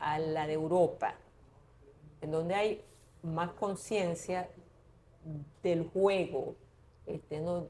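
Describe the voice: A woman's dark, mellow voice at a fairly low pitch, slow in pace, with ordinary pitch variation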